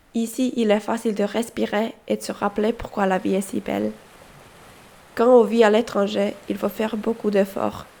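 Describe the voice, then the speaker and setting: A woman's medium-pitched voice in a Finnish accent, dark and mellow, with vocal fry and monotone, flat intonation. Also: moderate pace. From Finland. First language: Finnish (speaking French). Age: 20s. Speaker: volunteer at a school. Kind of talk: scripted narration.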